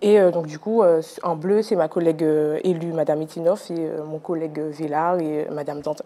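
A woman speaks at a fairly low pitch with fairly even intonation. Her pace is moderate, and her loudness swings widely. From Martinique. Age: 20s. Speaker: municipal councillor; council guest. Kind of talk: TV interview. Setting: TV studio. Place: studio. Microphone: lapel.

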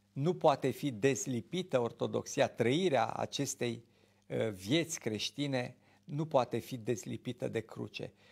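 A man's voice with vocal fry and ordinary pitch variation, at a fairly slow pace against a quiet background. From Romania. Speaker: Orthodox priest, TV show host. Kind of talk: religious talk show, preaching. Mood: calm, earnest. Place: studio. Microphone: lapel.

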